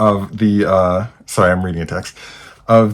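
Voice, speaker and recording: The recording is very clean with a silent background, and the intonation is fairly even. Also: man. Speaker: gaming podcast host. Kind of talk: casual monologue. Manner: fast; hesitant with fillers.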